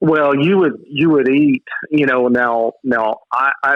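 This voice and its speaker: The speaker is a man with a Texas accent. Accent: Southern US (Texas). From West Texas. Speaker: author and hunter. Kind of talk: casual interview chat.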